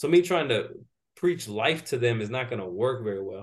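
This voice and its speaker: Lively intonation marks this man's medium-pitched delivery, in a normal speaking voice. His pace is fairly quick. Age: 30s. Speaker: strength and conditioning coach. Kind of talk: interview.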